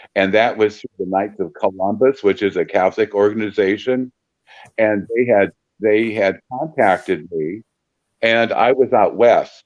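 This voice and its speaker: The sound is close and dry, without any echo. A man talks with ordinary pitch variation. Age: 60s. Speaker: paranormal investigator and volunteer. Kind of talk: podcast interview.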